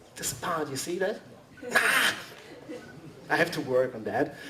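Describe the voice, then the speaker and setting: Amid audible room echo and noticeable background noise, a man with a fairly high pitch talks at a very slow pace. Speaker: costume maker, convention panelist. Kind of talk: workshop presentation. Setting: convention panel with audience. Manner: halting.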